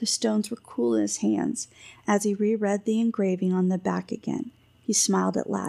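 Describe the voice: Someone is doing plain reading aloud.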